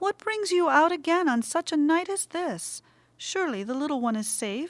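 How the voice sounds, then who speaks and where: In a squeaky, put-on character voice, the speaker moves at a moderate pace with very wide pitch swings. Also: woman, extremely high pitch for a woman. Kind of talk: genteel, old-fashioned formality. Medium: read story.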